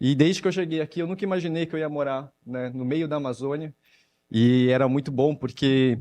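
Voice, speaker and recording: A man's fairly high-pitched voice with a dark, mellow tone, a São Paulo accent, ordinary pitch variation and a fairly quick pace. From São Paulo city, Brazil. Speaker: panel moderator. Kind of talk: panel discussion moderation.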